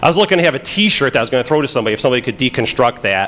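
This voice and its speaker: A man speaks very fast with a Chicago accent. His pitch sits in the medium range. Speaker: FBI agent, conference speaker. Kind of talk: conference talk. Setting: stage with audience. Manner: halting, many fillers.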